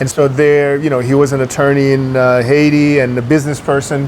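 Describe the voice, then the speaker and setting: Over noticeable background noise, a man with an American accent speaks at a fairly high pitch in a monotone, flat way. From New York. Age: 60s. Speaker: businessman. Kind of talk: interview. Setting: restaurant. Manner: hesitant, many fillers.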